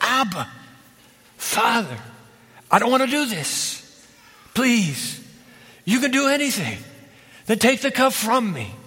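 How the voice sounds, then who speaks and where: A man's put-on character voice, guttural and hoarse, at an extremely high pitch and a fairly slow pace, with long, frequent pauses. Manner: anguished, pleading.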